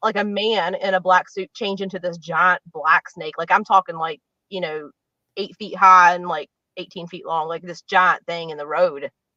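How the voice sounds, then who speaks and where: A woman with an American accent, her fairly low pitch carrying a bright, sharp tone. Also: fairly even intonation, moderate pace. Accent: West Virginia accent, comes out sometimes. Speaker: psychic medium. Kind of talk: casual interview chat. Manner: casual, lots of filler words.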